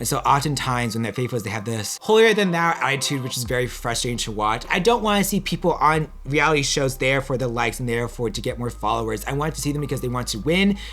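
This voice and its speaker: Very fast and with lively intonation, a man talks at a medium pitch. Noticeable background noise runs behind him. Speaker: reality TV reviewer. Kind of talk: solo video commentary. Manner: casual, hesitant.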